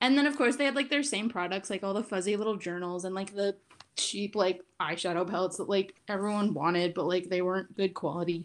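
Using an unremarkable speaking voice, a woman speaks at a fairly quick pace with a medium pitch and ordinary pitch variation. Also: very clean recording, silent background. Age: 20s. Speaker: podcast co-host. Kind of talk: casual chat.

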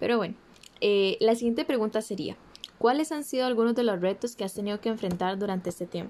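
Through noticeable background noise, a woman with a Costa Rican accent speaks very fast at a fairly high pitch, with ordinary pitch variation. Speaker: podcast host. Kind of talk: podcast interview.

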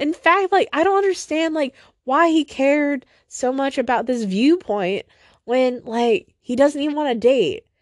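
Against a quiet background, a woman with a high pitch talks at a fairly slow pace with lively intonation, in a dry, close sound with no echo. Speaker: podcaster. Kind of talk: solo personal podcast monologue. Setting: at home in sunroom late at night. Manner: rambling, hesitant.

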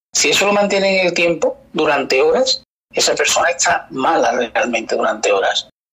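His loudness holds very even. The man talks at a moderate pace. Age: 40s. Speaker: osteopath and kinesiologist. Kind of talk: interview podcast.

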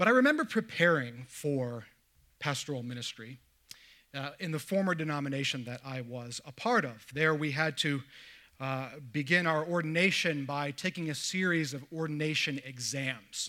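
Recorded very cleanly over a silent background, a man with a plain, everyday voice speaks at a moderate pace, his fairly high pitch varying in an ordinary way. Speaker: pastor. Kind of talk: sermon.

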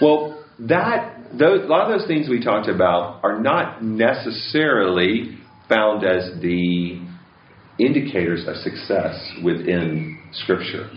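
A man with an American accent speaks very slowly at medium pitch, with very wide pitch swings. Room echo is audible. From US West Coast. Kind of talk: talk. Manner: halting.

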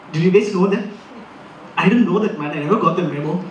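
The speaker talks at a very fast pace with ordinary pitch variation. Noticeable background noise can be heard. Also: man. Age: 20s. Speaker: stand-up comedian. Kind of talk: stand-up. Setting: stage with audience.

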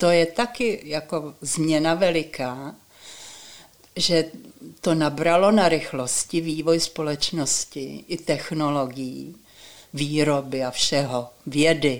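A woman's very deep, low voice with ordinary pitch variation, at a very slow pace. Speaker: retired teacher and education reformer. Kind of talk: interview.

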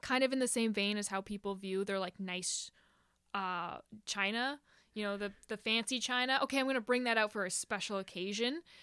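A woman's ordinary speaking voice at a fairly high pitch and fairly quick pace, in a dry, close, echo-free, very clean recording with a silent background. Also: ordinary pitch variation. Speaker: guest, movie fan. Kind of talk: casual chat.

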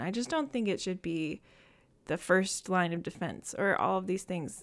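With an American accent and a normal speaking voice, a woman talks at a moderate pace and medium pitch with ordinary pitch variation, on a very clean recording with a silent background. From Michigan. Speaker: podcast guest sharing mental health experience. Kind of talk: casual chat.

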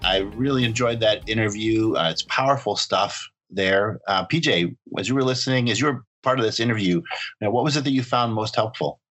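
An ordinary speaking voice from a man, medium in pitch with ordinary pitch variation, holds very even loudness at a fairly quick pace. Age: 40s. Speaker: podcast host. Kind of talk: casual chat.

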